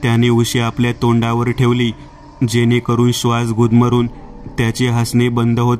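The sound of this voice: An unforced reading voice is used throughout.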